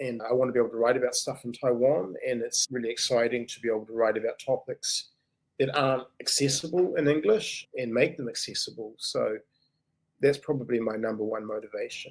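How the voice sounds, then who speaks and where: Speaking in a New Zealand accent, a man talks at a fairly quick pace. His pitch sits in the medium range. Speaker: writer and English teacher. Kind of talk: interview answer. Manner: casual, conversational.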